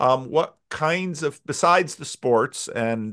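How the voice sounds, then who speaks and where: A man's ordinary speaking voice at medium pitch, with lively intonation and a quiet background. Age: 60s. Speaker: pastor and podcast host. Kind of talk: casual interview conversation.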